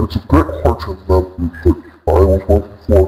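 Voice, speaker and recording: A man uses a put-on character voice with a very deep, low pitch. He speaks at a moderate pace. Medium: game stream.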